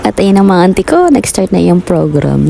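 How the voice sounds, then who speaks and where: Noticeable background noise behind speech of moderate pace. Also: woman. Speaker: vlogger. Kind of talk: vlog voice-over narration. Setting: voice-over recording. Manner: energetic, animated.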